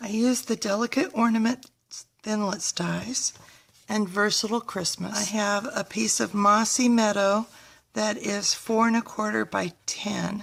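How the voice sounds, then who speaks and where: A woman speaks at a fairly slow pace with a fairly high pitch and a somewhat breathy quality. Her intonation stays fairly even. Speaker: paper craft demonstrator. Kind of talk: tutorial.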